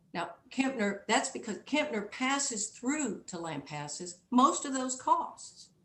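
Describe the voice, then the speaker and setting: Very slow female speech, fairly high in pitch, with very wide pitch swings, big swings in loudness and hardly any pauses, over noticeable background noise. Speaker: appellate lawyer. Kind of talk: oral argument in court. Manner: soft-spoken.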